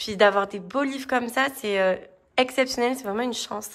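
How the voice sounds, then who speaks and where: A woman talks at a fairly quick pace. Her fairly high voice keeps fairly even intonation. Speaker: tarot and spirituality book reviewer. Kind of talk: casual book review video.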